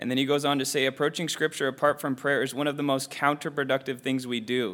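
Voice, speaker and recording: With an unremarkable speaking voice and a fairly high pitch, a man talks at a fairly quick pace. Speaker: Bible study participant. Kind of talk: sharing reflections in group discussion. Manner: casual, filler-heavy speech.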